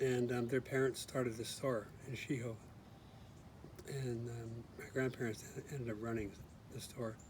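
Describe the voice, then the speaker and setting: A man speaks at a moderate pace in a flat monotone, with long, frequent pauses and noticeable background noise. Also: medium pitch for a man. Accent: American. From US West Coast, Berkeley, California. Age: 60s. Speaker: retired engineer. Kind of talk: casual interview.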